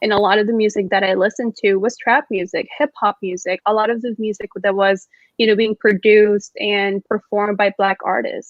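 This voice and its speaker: In a Spanish accent, the speaker goes at a fairly quick pace with hardly any pauses and monotone, flat intonation. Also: woman, medium pitch for a woman. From Mexico. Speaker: student panelist. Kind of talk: casual chat.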